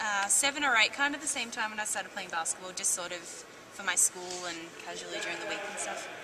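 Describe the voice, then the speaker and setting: A woman at a very fast pace with an Australian accent, medium pitch, and lively intonation, amid noticeable background noise and audible room echo. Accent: thick Australian. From Australia, Langwarrin near Melbourne. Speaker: college basketball player. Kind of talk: interview.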